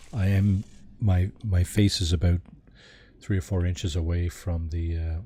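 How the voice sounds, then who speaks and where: This man's very deep, low voice has a dark, mellow tone, somewhat breathy and fairly even in intonation, moving at a moderate pace with long, frequent pauses. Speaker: video game streamer. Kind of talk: live gameplay commentary. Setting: live stream. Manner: soft-spoken. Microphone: quiet, low volume.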